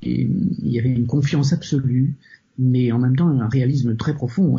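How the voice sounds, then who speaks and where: The voice shows vocal fry along with ordinary pitch variation. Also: man. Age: 50s. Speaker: psychotherapist and author. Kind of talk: interview. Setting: remote call. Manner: halting.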